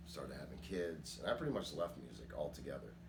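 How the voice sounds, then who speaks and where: A man's voice carries audible room echo. Background noise is noticeable. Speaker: rap metal vocalist. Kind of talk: interview testimony. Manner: casual.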